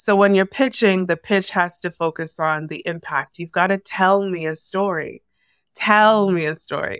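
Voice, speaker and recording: In an unremarkable speaking voice with a Canadian accent, a woman talks at a moderate pace with medium pitch and fairly even intonation, the sound dry and close with no echo on a very clean recording with a silent background. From Canada, Toronto. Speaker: former journalist, media consultant. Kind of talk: interview conversation.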